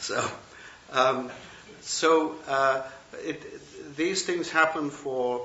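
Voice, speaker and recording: With a British accent, a man speaks very slowly at a fairly high pitch and fairly even intonation, leaving long, frequent pauses, amid noticeable background noise and audible room echo. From England. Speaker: Buddhist teacher and retired professor. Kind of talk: dharma talk. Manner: hesitant, many fillers and restarts.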